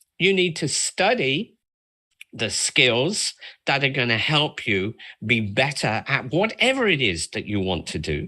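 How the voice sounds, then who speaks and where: A man's medium-pitched voice with vocal fry and a bright, sharp tone. He talks fairly slowly, his pitch swinging very widely. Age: 70s. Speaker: makeup artist. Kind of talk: interview. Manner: halting.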